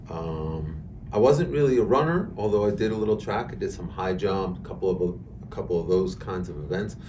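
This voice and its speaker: A man with an American accent speaks at a moderate pace amid noticeable background noise and audible room echo. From New York, Hudson Valley (Westchester). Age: 60s. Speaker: amateur marathon runner. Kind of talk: podcast interview. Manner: hesitant, many fillers.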